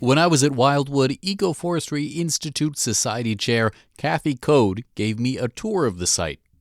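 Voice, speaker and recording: In a very clean recording with a silent background, a man with an ordinary speaking voice talks at a moderate pace and a fairly high pitch, his intonation lively and hardly any pauses. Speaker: radio host. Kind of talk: radio news narration and interview questions.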